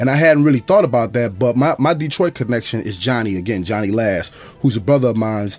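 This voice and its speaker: In a New Orleans accent, a man rattles along at a very fast pace with lively intonation and an animated tone. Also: medium pitch for a man. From US South, New Orleans. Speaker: rapper. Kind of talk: casual chat.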